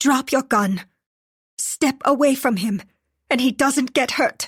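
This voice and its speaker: A woman puts on a shrill, raspy, high-pitched character voice and speaks at a fairly slow pace. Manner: threatening, commanding.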